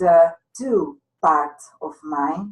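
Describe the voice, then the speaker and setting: This woman has a very deep, low voice. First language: not English. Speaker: hypnotherapist and law of attraction coach. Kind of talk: interview. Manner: halting, many fillers.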